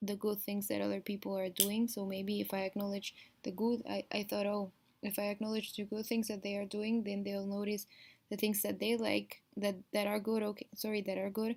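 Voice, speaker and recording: This woman talks with a Spanish accent at a moderate pace. Her intonation is flat and monotone. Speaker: vlogger, Montessori classroom assistant. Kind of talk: video diary. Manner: halting.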